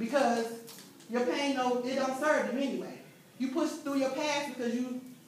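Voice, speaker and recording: With an American accent, a woman speaks at a high pitch and moderate pace, leaving long, frequent pauses, amid light background noise and strong room echo. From US South, Memphis, Tennessee; Tennessee. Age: 40s. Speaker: motivational speaker and author; motivational speaker. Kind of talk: motivational talk to students. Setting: high school classroom with students. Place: classroom. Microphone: camera far.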